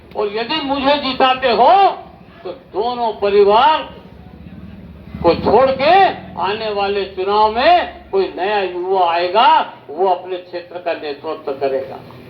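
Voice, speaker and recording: A man's voice with very wide pitch swings and noticeable background noise. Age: 70s. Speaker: independent election candidate. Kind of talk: campaign rally speech. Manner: oratorical, addressing crowd.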